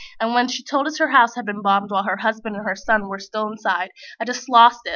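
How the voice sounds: Fairly even intonation in a natural reading voice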